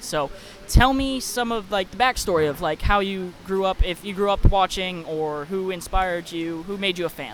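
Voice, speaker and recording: A man talks at a moderate pace and a high pitch, with hardly any pauses. His pitch varies in an ordinary way while his loudness swings widely. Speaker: podcast host and wrestler. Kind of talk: casual interview.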